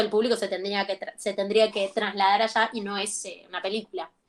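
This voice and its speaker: Fairly quick talk from a woman with a fairly high pitch. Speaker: acting teacher. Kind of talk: lecture. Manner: halting.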